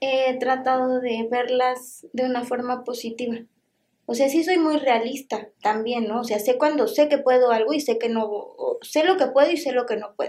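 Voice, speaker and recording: A woman's high voice at a moderate pace, with fairly even intonation. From Mexico. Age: 30s. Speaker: Paralympic swimmer. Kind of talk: interview.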